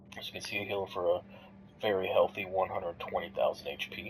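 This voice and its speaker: Clear noise fills the background. Over it, a man talks very fast. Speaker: gamer. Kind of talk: casual gameplay commentary. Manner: casual, hesitant.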